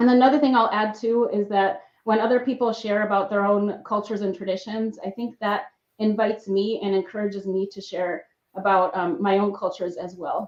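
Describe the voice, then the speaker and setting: This speaker talks at a fairly quick pace with fairly even intonation in an American accent. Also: woman, medium pitch for a woman. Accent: slight accent in both English and Spanish. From Mexico, bilingual household with US father. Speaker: evaluator, employee resource group member. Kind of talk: panel discussion. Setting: live stream panel.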